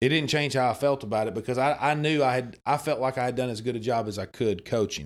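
Here a man talks at a very fast pace with an Arkansas accent. His pitch varies in an ordinary way. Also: medium pitch for a man, hardly any pauses. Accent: Southern US (Arkansas). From Arkansas, US South. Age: 30s. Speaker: former high school coach. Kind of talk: casual chat.

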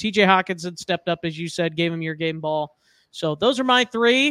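A bright, sharp tone with ordinary pitch variation at a moderate pace, in a dry, close sound with no echo and a very clean recording with a silent background. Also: man. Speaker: podcast host. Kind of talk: casual sports podcast chat. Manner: rambling, filler-heavy, fan enthusiasm.

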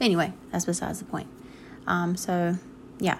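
A woman with an American accent and a somewhat breathy voice. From North Carolina, US South. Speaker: listener caller. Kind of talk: voicemail feedback.

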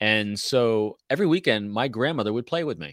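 An unremarkable speaking voice belongs to a man with an American accent, medium pitch and lively intonation. The sound is dry and close with no echo, in a very clean recording with a silent background. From New York State (Carmel, north of NYC). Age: 50s. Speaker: former Marine and intelligence officer, author and speaker. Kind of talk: casual interview chat.

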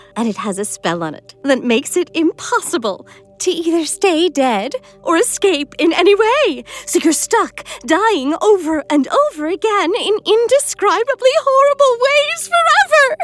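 A put-on character voice sounds female, with an extremely high pitch, very wide pitch swings and a bubbly tone. The pace is moderate, and faint music plays in the background. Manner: bubbly, sadistic.

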